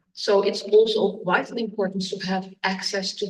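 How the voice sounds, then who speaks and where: A woman talks at a moderate pace, and the room's echo is audible. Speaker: judge. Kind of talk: conference talk.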